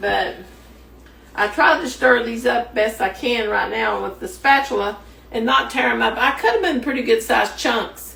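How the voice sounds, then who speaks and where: The speaker has a Kentucky accent. Background noise is noticeable throughout. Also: woman, moderate pace. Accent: Southern US (Kentucky). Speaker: home cook. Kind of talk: cooking tutorial. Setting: home kitchen. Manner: some trouble talking after stroke.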